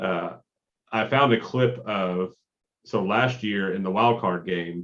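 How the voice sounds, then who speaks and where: A man talks at a very slow pace. His pitch is fairly low, with ordinary variation. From Kentucky. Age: 30s. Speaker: sports podcast co-host. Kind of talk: casual chat.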